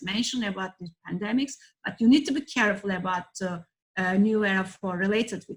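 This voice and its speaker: In a Turkish accent, a woman talks at a medium pitch. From Turkey. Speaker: professor, heritage disaster risk expert. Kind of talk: online lecture presentation. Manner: halting, frequent fillers.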